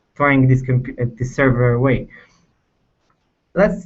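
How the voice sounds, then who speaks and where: A man with a fairly high voice and an Israeli accent. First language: Hebrew. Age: 20s. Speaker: software engineer. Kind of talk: technical presentation. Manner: halting, many fillers.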